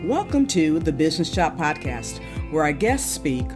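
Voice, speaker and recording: A woman is speaking. Music plays behind her. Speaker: podcast host. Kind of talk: podcast intro.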